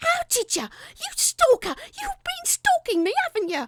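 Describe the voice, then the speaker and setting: A woman's put-on character voice at an extremely high pitch, with lively intonation, a moderate pace, and a dry, close sound with no echo. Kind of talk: horror story reading. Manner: shrill, accusing, agitated.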